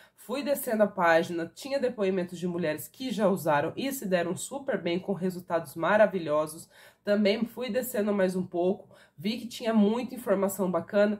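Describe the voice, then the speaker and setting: Here is a woman with a plain, everyday voice at a medium pitch and ordinary pitch variation. She speaks at a moderate pace over a quiet background. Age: 30s. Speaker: product reviewer. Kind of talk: sales pitch. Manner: casual. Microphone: phone near.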